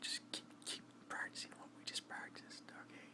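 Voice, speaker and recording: A man whispering amid noticeable background noise. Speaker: military veteran. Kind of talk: ASMR storytelling to camera. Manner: whispered.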